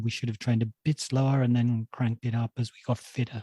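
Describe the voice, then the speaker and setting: Speaking at a very fast pace, a man with a dark, mellow tone and medium pitch sounds somewhat breathy, his intonation monotone and flat, in a dry, close recording with no echo. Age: 60s. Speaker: running podcast co-host. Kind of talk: casual chat.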